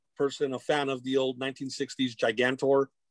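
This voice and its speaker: In a dry recording with no echo and a quiet background, a man talks with an American accent. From Whittier, near Los Angeles, California; California. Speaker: comic book creator and arts educator; comic book creator, guest. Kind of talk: casual chat. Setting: video call. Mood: warm, reflective. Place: home room. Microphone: video call.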